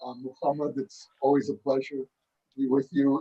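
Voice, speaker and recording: A man with a New York accent at a fairly slow pace, in a dry, close sound with no echo. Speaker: author. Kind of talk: panel dialogue. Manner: hesitant, many fillers.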